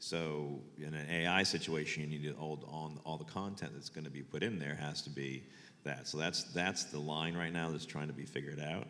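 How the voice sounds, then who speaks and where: Audible room echo surrounds a man whose very deep, low voice moves at a moderate pace with fairly even intonation. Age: 60s. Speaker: photographer. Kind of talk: panel talk. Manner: halting.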